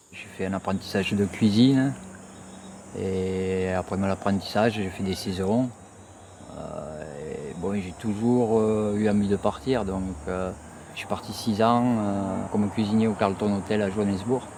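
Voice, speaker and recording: A man at a fairly slow pace with long, frequent pauses, amid noticeable background noise. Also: fairly low pitch for a man, fairly even intonation. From southwest France. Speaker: cook. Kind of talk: documentary interview testimony.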